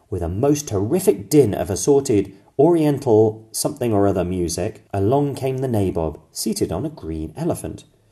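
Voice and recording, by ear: With lively intonation, a natural voice reads aloud.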